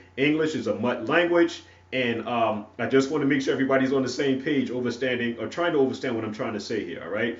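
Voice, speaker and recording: A man with an American accent at a very fast pace, with audible room echo. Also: medium pitch for a man, ordinary pitch variation. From North Carolina (Wilson). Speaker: preacher. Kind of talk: sermon. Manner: halting, many fillers and repetitions.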